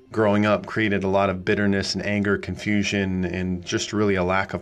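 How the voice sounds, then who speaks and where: A man with an American accent talks at a fairly quick pace. His fairly low voice is monotone and flat, with audible room echo. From US Midwest, small-town Nebraska. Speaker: pastor. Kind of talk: solo podcast talk, sermon-like. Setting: small studio.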